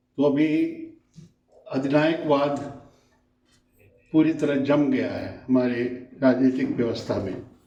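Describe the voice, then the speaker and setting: A man's dark, mellow voice at a fairly high pitch, with long, frequent pauses and audible room echo. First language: not Hindi (speaking Hindi). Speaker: invited speaker at memorial discussion. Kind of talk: political speech at memorial meeting. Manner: formal.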